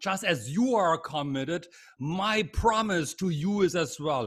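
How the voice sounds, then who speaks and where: A man with a German accent speaks at a fairly slow pace. His high voice has lively intonation. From Germany. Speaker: leadership trainer. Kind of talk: webinar lecture. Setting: video call.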